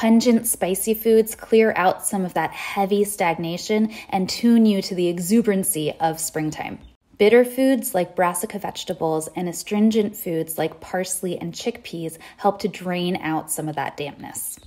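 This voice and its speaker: At a moderate pace and with hardly any pauses, a woman speaks with ordinary pitch variation. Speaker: wellness educator. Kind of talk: educational social media talk. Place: home room. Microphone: phone near.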